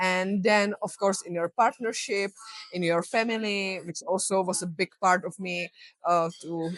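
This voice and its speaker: A woman speaks with a Czech accent at medium pitch and fairly even intonation. The sound is dry and close with no echo. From Czech Republic. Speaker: health coach. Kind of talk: interview.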